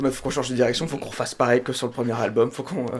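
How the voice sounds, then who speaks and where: A man's very fast speech with fairly even intonation, over noticeable background noise. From France, Laval. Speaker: drummer. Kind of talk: radio interview.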